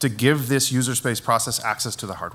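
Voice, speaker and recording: In a very clean recording with a silent background, a man with an American accent talks at a fairly quick pace, medium in pitch with fairly even intonation. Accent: American-sounding. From Netherlands. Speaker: network engineer. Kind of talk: conference talk. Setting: stage with audience.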